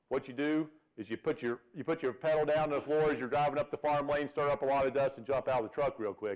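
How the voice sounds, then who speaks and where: Talking very fast, a man with a Virginia accent uses a medium pitch. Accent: Virginia Southern. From Virginia, US. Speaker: veterinarian professor. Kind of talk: seminar lecture. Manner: folksy, humorous.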